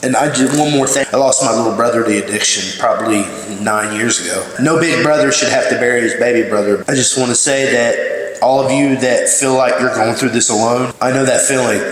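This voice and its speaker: With noticeable background noise and audible room echo, a man at a medium pitch speaks at a moderate pace with ordinary pitch variation. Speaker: recovery program graduate. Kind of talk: graduation speech. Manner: loud.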